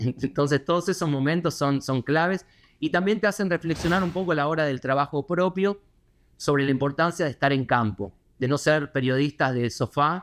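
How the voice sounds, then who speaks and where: Against a quiet background, a man speaks at a moderate pace and a fairly high pitch. His loudness stays very even and his pitch varies in an ordinary way. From Argentina, Buenos Aires. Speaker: foreign correspondent. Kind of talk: interview. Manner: hesitant, many fillers.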